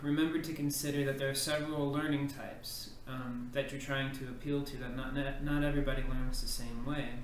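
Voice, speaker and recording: The speaker has a Texan accent and fairly even intonation. Noticeable background noise and audible room echo can be heard. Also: man. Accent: Texan American English. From Texas. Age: 20s. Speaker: ESL teacher applicant. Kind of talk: video application self-introduction.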